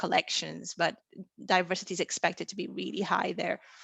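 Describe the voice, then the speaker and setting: A woman with a Portuguese accent speaks at a fairly quick pace, her voice showing vocal fry. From Portugal. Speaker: plant taxonomist. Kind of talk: lecture.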